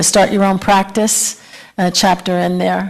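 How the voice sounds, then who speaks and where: A woman's medium-pitched voice, monotone and flat in intonation. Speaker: conference moderator. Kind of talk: speaker introduction.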